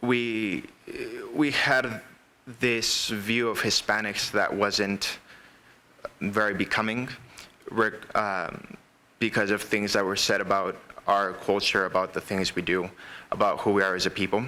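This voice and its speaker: Fairly slow, fairly even speech with long, frequent pauses and noticeable background noise. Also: man, fairly low pitch for a man. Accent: American. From El Paso, Texas. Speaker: college student panelist. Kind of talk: panel testimony.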